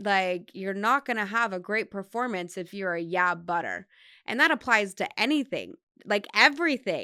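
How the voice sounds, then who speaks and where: Lively intonation in an unremarkable speaking voice, delivered at a moderate pace. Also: woman, medium pitch for a woman. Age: 30s. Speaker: podcast host, endurance athlete. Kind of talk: solo podcast monologue. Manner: casual, filler-heavy with repetitions.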